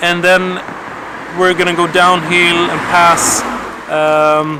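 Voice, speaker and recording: Against noticeable background noise, a man speaks in a high pitch. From Sweden. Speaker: cycling vlogger. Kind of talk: casual vlog chat.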